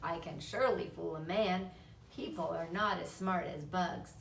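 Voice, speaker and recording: Over clear background noise, a woman does a put-on character voice at a moderate pace and a fairly low pitch. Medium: read story. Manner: calm, thoughtful.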